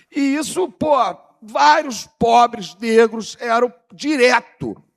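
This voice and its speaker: The man's high voice sounds dry and close, with no echo. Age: 60s. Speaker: panel speaker on cannabis history. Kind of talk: seminar panel talk.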